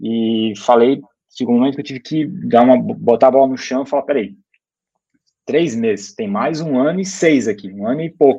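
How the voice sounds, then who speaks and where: At a moderate pace, a man speaks in an unremarkable speaking voice at medium pitch with lively intonation. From Brusque, Santa Catarina, Brazil. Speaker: startup founder and former CEO. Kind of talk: casual interview conversation.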